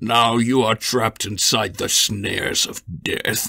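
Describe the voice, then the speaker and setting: A man's put-on character voice, raspy and medium in pitch, at a fairly slow pace. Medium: read story. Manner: menacing, scornful.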